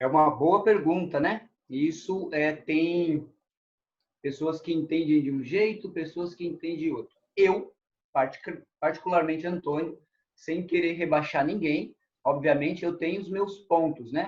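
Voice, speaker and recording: A man talks at a fairly slow pace in a high pitch, his intonation fairly even. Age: 50s. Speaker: kung fu master. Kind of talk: interview.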